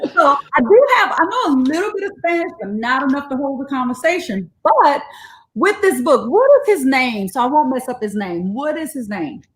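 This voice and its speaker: Her pitch is high and her pace moderate. This woman has an animated tone with very wide pitch swings. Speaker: educator hosting bedtime story reading. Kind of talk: live-streamed casual chat and story reading.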